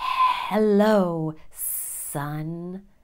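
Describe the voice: In a put-on character voice, a female-sounding speaker at medium pitch for a woman delivers her lines with hissing.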